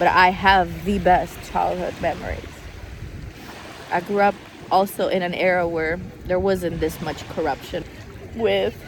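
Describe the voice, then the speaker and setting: Over noticeable background noise, someone with an American accent speaks at a fairly slow pace with long, frequent pauses. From Italy. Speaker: vlogger. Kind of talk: emotional vlog monologue. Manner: halting, repetitive.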